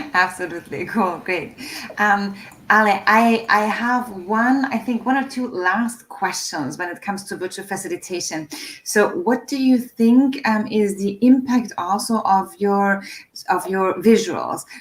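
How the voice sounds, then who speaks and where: Noticeable background noise sits behind a woman's voice. Her pitch is medium, with ordinary pitch variation. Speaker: live stream host. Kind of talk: interview on a live stream. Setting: video call live stream. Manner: fast.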